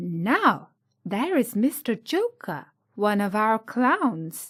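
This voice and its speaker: A woman puts on a character voice, fairly high-pitched with very wide pitch swings, at a very slow pace. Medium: read story. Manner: prim, polite.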